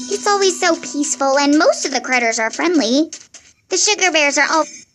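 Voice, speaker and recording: Music plays behind a put-on character voice that is high-pitched and upbeat, going at a fairly quick pace. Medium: machinima. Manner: chatty, upbeat.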